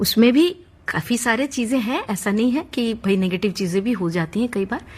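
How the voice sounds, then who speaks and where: A somewhat breathy woman with a Bengali accent and ordinary pitch variation. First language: Bengali (speaking Hindi). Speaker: classical music teacher. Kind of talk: interview.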